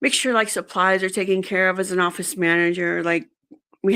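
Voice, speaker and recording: A woman speaks with a Spanish accent at a moderate pace and a medium pitch. The recording is very clean, with a silent background. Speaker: job candidate, executive assistant. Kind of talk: interview. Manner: halting, many fillers.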